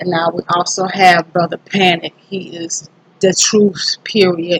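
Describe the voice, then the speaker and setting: Speaking in a South Carolina accent, a woman has a fairly low voice and flat, monotone intonation. The sound is dry and close, with no echo. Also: fairly slow pace. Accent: Southern US (South Carolina). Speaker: YouTuber, self-improvement vlogger. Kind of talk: casual vlog monologue. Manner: hesitant, many fillers.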